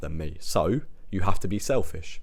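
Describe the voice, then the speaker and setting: The voice sounds robotic, with a British accent. Its intonation stays fairly even. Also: man. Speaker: self-improvement podcaster. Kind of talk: motivational monologue.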